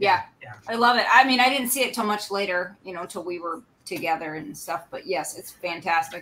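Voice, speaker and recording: A woman's ordinary speaking voice with big swings in loudness. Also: medium pitch for a woman, lively intonation, fairly quick pace. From US Midwest. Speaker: cosplayer. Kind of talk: casual chat.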